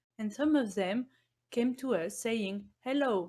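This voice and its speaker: A fairly slow pace with ordinary pitch variation on a very clean recording with a silent background. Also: woman. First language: not English. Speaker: software engineer. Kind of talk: conference presentation.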